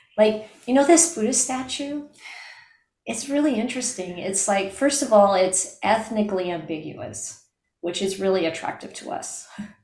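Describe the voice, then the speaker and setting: Somewhat breathy, a woman talks at a moderate pace with a fairly high pitch and lively intonation. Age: 60s. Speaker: Buddhist nun and teacher. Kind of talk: dharma discussion.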